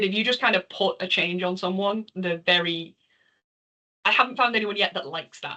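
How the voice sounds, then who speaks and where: The tone is bright and sharp, with a slight Liverpool accent. The pace is moderate. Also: woman. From northern England, Liverpool. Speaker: charity volunteer and developer presenter. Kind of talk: Q&A after a talk.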